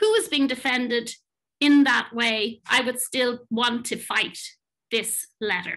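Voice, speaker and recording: A woman with an Irish accent speaks at a fairly slow pace in a high, raised, projected voice. Her tone is bright and sharp, and the background is quiet. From Ireland. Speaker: management consultant and psychotherapist; panelist. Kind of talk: talk presentation; panel discussion answer. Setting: online webinar. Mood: earnest, thoughtful. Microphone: webcam.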